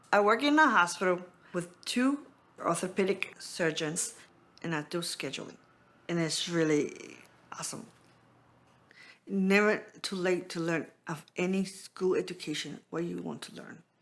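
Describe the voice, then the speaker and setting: A woman with a non-native accent speaks at a fairly slow pace in a medium pitch, her intonation lively, her loudness swinging widely, and her speech broken by long, frequent pauses. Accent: foreign. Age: 40s. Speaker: program participant. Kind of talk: testimony.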